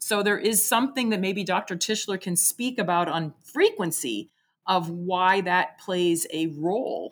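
A woman with an American accent talks at a fairly slow pace in an ordinary speaking voice with ordinary pitch variation. The recording is very clean, with a silent background. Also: medium pitch for a woman. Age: 60s. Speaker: sexologist and doctoral student. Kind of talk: interview.

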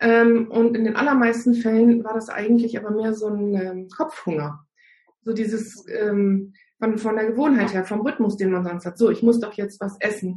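A woman speaks at a moderate pace with a fairly high, somewhat breathy voice. Her intonation stays fairly even. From northern Germany. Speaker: naturopath and fasting coach. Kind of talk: casual interview. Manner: frequent hesitations (ähm).

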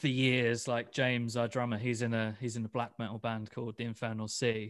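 Speaking at a moderate pace, a man with a medium pitch talks in a British accent. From UK. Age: 30s. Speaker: death metal musician. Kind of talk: interview. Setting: video call.

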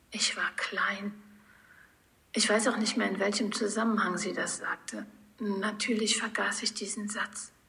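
Against noticeable background noise, a woman speaks slowly in a fairly high, monotone, flat voice, leaving long, frequent pauses. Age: 40s. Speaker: podcast host. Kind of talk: personal monologue.

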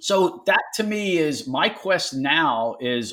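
Recorded very cleanly against a silent background, a man with a Philadelphia accent speaks with lively intonation. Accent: Philadelphia American. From Philadelphia, US. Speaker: business owner. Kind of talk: interview conversation. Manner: halting, repeats words.

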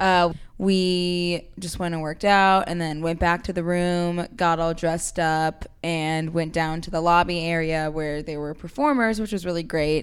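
At a fairly slow pace, a woman with a plain, everyday voice speaks in a fairly low pitch with fairly even intonation. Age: 20s. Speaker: guest, sister of host, incoming law student. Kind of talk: casual chat.

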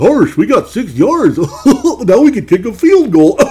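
A cartoonish character voice, fairly high in pitch, swings very widely up and down. It moves at a fairly slow pace over clear background noise. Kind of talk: silly cartoon voice. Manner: goofy.

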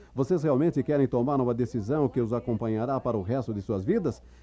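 Moving at a fairly quick pace, a man speaks at medium pitch with ordinary pitch variation. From New York City (the Bronx). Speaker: motivational speaker at a business convention. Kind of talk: motivational speech. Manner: animated.

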